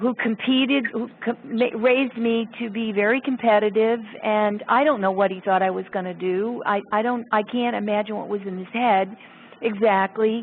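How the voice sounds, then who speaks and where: This woman has a normal speaking voice, fairly high-pitched for a woman, and talks at a fairly slow pace with fairly even intonation. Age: 60s. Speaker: sculptor. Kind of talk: casual chat.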